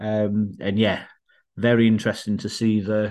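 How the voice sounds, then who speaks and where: Someone with a northern English accent speaks at a fairly slow pace. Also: man, quiet background. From northern England. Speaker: podcast co-host. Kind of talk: casual chat.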